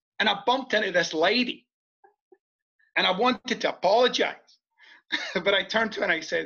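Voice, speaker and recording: Raising and projecting his voice, a man with a Scottish accent speaks at a fairly quick pace in a high, bright, sharp tone. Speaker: podcast guest, author. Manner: animated storyteller.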